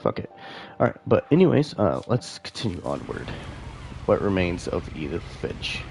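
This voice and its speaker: A man at a moderate pace with long, frequent pauses, over noticeable background noise. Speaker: gaming streamer. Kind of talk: live gameplay commentary. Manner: casual, hesitant with many fillers.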